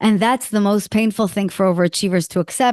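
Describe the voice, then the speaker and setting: A woman speaks at a medium pitch with an Israeli accent. The sound is dry and close with no echo, over a quiet background. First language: Hebrew. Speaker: executive coach and author. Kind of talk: interview conversation. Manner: animated.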